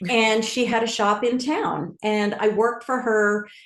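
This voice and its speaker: Audible room echo surrounds a woman of medium pitch who speaks with an American accent. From New York area (Bronxville). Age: 60s. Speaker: culinary wellness founder. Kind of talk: interview conversation.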